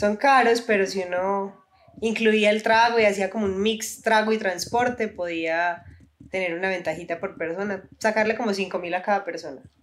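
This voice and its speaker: A woman with an ordinary speaking voice, medium in pitch, at a moderate pace, with fairly even intonation. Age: 20s. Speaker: university student and influencer. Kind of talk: casual chat.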